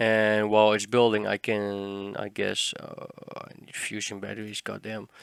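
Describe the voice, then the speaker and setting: This man talks at a fairly slow pace with a Dutch accent, his loudness swinging widely. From Netherlands. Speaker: gaming tutorial creator. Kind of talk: tutorial. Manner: casual, hesitant with fillers.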